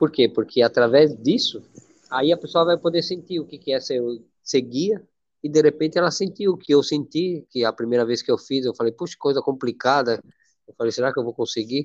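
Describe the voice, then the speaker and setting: In an ordinary speaking voice, a man delivers his words at a moderate speed. The pitch sits fairly high and varies in an ordinary way. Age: 60s. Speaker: nonprofit president. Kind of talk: interview. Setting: audio live.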